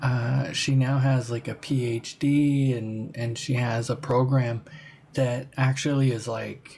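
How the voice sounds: Speaking at a slow pace, the voice has a slightly mellow tone, vocal fry and ordinary pitch variation.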